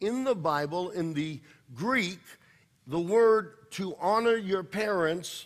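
The speaker is a man. Behind him, the background stays quiet. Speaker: pastor. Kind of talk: sermon. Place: church.

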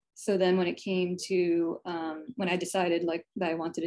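With an American accent, a woman speaks in a plain, everyday voice at a moderate pace. Her pitch is fairly low and her intonation fairly even, over a quiet background. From New Jersey, US. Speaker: picture book illustrator. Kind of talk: presentation and drawing workshop. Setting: video call. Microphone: video call.

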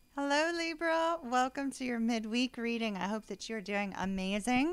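Speaking at a moderate pace, a woman uses lively intonation and a high pitch. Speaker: tarot reader. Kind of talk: casual vlog chat. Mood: warm, cheerful. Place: home room.

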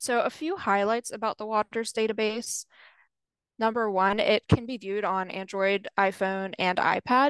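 A woman talks at a moderate pace in an ordinary speaking voice, fairly high-pitched with ordinary pitch variation. The sound is dry with no echo, against a quiet background. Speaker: water resources specialist. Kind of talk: webinar presentation. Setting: video call. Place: home room. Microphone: video call.

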